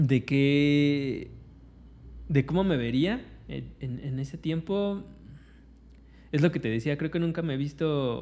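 Using a dark, mellow tone and a fairly high pitch, a man with a Mexican accent speaks at a very slow pace with long, frequent pauses. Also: ordinary pitch variation. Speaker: podcast co-host. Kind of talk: casual chat.

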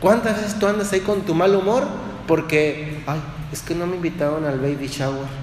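A man with a central Mexican accent, fairly high pitch and ordinary pitch variation at a moderate pace, with audible room echo and noticeable background noise. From Mexico, Dolores Hidalgo, Guanajuato. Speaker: priest. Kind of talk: sermon.

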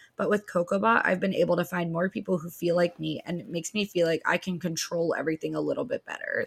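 Dry and close with no echo, a woman talks at a very fast pace with hardly any pauses. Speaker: podcast co-host. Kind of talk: casual chat.

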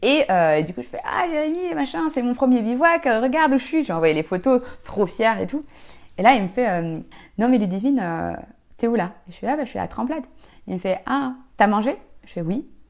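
Against a quiet background, a woman with fairly high pitch speaks at a moderate pace, her pitch swinging very widely and her loudness shifting a lot, with long, frequent pauses. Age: 20s. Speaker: amateur athlete. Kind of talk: casual chat. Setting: home.

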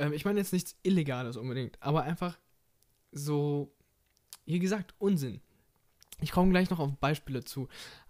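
A man's fairly high voice with ordinary pitch variation, a moderate pace and long, frequent pauses. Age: 20s. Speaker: podcast host and bank trainee. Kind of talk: casual solo podcast monologue.

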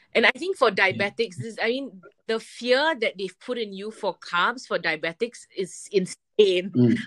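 In a normal speaking voice, a woman talks at a fairly high pitch and a fairly slow pace, with lively intonation and hardly any pauses, in a dry, close sound with no echo. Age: 30s. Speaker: amateur triathlete. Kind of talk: interview.

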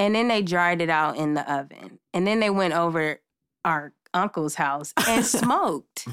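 A plain, everyday voice with an American accent speaks at a fairly slow pace with lively intonation and very even loudness on a very clean recording with a silent background. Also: woman. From Los Angeles. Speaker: makeup artist guest. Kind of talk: casual chat.

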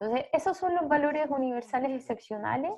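A woman's voice carries a dark, mellow tone with lively intonation. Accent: Chilean. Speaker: social anthropologist. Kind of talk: interview.

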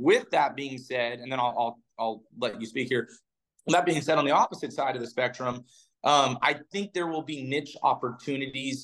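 A man with an American accent and a plain, everyday voice speaks at a moderate pace and medium pitch with ordinary pitch variation. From California. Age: 30s. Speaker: professional tournament bass angler and podcast host. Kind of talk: casual chat. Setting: studio.

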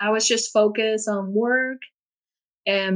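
In a Puerto Rican accent, a woman talks at a moderate pace with a medium pitch and fairly even intonation. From Puerto Rico. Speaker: podcast guest sharing life story. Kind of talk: personal testimony in interview.

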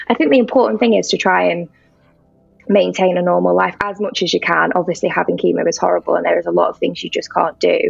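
A woman speaks in a North Welsh accent. Her pace is very fast. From North Wales. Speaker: cancer survivor and charity worker. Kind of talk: testimony.

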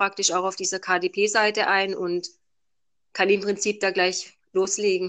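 Against a quiet background, a woman of medium pitch speaks at a moderate pace in a bright, sharp tone. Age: 30s. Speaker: self-published novelist. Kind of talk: interview. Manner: hesitant, many fillers.

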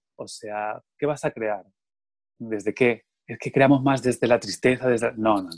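In an ordinary speaking voice, a man of medium pitch speaks at a fairly slow pace with ordinary pitch variation, with a dry, close sound and no echo. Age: 40s. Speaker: theatre artist. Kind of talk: interview conversation.

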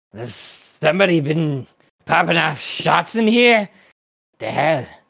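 A man speaks at a fairly slow pace in a put-on character voice, fairly high-pitched. The voice is gruff and growling. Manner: snarling, gruff.

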